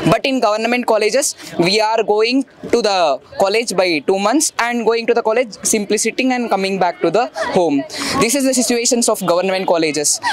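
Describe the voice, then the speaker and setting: A man speaks with a dry sound and no echo. Noticeable background noise runs behind him. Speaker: student protester. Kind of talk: protest speech. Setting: outdoors at a protest. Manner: halting. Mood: earnest, appealing. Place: street. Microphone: handheld.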